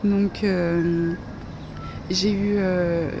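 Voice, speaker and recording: Heard over noticeable background noise, a woman speaks with a medium pitch and fairly even intonation. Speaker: vlogger. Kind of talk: casual monologue vlog. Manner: slurred articulation.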